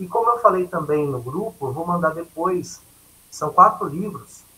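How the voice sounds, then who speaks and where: A man with a high voice speaks loudly and projects, his intonation lively. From Brazil, São Paulo state (Catanduva). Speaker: educator, workshop trainer. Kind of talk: lecture. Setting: video call.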